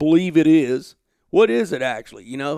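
In an Alabama accent, the speaker talks at a moderate pace on a very clean recording with a silent background and a dry, close sound with no echo. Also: man. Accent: Southern US, Alabama. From US South, Alabama. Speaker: outdoor journalist and podcast host. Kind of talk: casual interview chat. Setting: home office.

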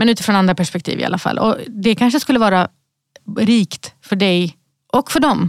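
In a dry, close sound with no echo, a woman with a plain, everyday voice speaks at a fairly quick pace, using a medium pitch and ordinary pitch variation. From Sweden, Malmö (Rosengård). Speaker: company CEO. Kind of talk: podcast interview. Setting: podcast studio.

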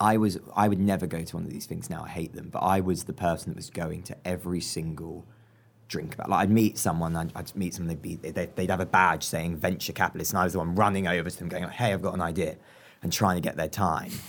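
Very fast speech in a southern English accent, on a very clean recording with a silent background. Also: man, very deep, low pitch for a man. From southern England. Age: 20s. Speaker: entrepreneur. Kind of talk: interview. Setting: club room. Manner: animated.

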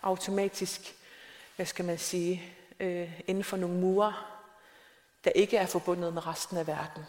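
A woman talks at a fairly slow pace and medium pitch. Her intonation is monotone and flat, with noticeable background noise behind her. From South Greenland, small town. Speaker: novelist. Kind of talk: onstage interview. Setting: stage with audience. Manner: halting, many fillers.

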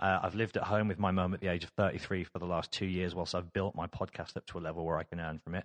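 Against a quiet background, a man talks at a very fast pace with hardly any pauses, his pitch very deep and low. His intonation is monotone and flat, and the sound is dry and close with no echo. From Birmingham, England. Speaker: radio presenter and podcast host. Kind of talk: casual interview chat. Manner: talkative.

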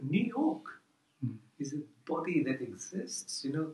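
Here is a man with a Fijian accent and a fairly high pitch. His voice makes very wide pitch swings. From Fiji (Indo-Fijian). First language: Fiji Hindi. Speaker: professor. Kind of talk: casual interview. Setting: office. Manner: halting.

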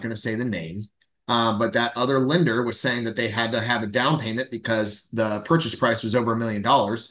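In an American accent, a man with an unremarkable speaking voice talks at medium pitch and a fairly quick pace with ordinary pitch variation. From Central Florida. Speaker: loan officer and podcast co-host. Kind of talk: casual chat.

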